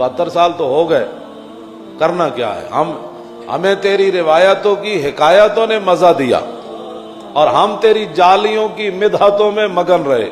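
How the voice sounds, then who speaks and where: A man's high voice with ordinary pitch variation, music in the background. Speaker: Islamic preacher. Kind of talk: religious sermon.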